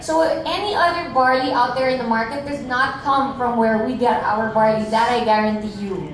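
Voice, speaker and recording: A woman speaks with a high pitch and lively intonation at a moderate pace with hardly any pauses, with audible room echo and light background noise. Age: 50s. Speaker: businesswoman. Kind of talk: sales pitch. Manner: animated. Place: hall.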